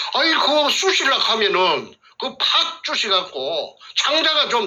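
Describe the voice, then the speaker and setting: With a Gyeongsang accent, a man speaks in very wide pitch swings. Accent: Gyeongsang dialect Korean. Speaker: whistleblower, former elementary school teacher. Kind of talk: testimony. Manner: halting, many fillers.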